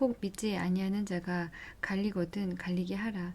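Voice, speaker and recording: Soft-spoken and somewhat breathy, a woman speaks at medium pitch in a dark, mellow tone. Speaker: bible reader. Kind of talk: reading aloud.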